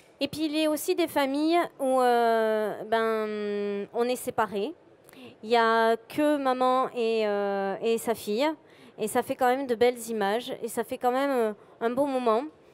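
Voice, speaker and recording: A woman with a high voice talks very slowly, her pitch varying in an ordinary way. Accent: southern French. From southwest France, Montauban. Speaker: photographer. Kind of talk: conference talk presenting photos. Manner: bubbly.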